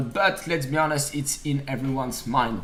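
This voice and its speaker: A man with a French accent speaks at a moderate pace in a fairly high, somewhat breathy voice. The room echo is audible. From France. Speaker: stock trading streamer. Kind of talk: live trading analysis stream.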